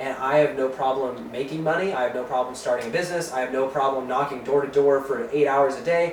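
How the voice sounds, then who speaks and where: A man speaks at a very fast pace. There is audible room echo and noticeable background noise. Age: 20s. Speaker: entrepreneur and lifestyle vlogger. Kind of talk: casual vlog monologue.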